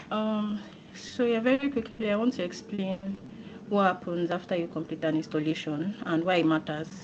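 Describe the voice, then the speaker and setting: A woman speaks quietly. She leaves long, frequent pauses. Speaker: company executive. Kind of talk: training presentation.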